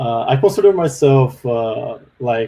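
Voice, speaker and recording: A man with a Brazilian accent speaks at a fairly slow pace with ordinary pitch variation. His voice is somewhat breathy, with a dark, mellow tone. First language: Portuguese. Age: 30s. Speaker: software developer. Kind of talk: webinar interview. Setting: live online webinar. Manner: hesitant, many fillers.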